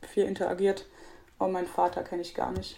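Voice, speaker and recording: Her tone is dark and mellow at a medium pitch. This woman speaks at a fairly quick pace. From Brandenburg, Germany. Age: 20s. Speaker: para swimmer. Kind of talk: interview.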